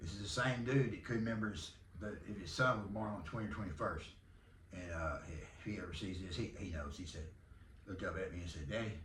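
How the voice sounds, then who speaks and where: Amid noticeable background noise and audible room echo, a man with a Southern US accent speaks at a fairly low pitch with lively intonation. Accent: Southern country drawl. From Texas. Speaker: podcast host and arena football team owner. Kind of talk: casual monologue.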